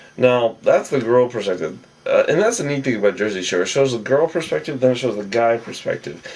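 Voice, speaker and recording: There is noticeable background noise behind this man's voice. He talks at a fairly quick pace with a medium pitch and lively intonation. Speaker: TV show recap vlogger. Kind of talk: casual recap monologue. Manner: casual, hesitant with fillers.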